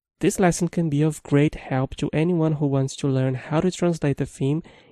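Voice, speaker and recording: A man speaks with a Brazilian accent. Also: quiet background. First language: Brazilian Portuguese. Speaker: programming instructor. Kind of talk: tutorial.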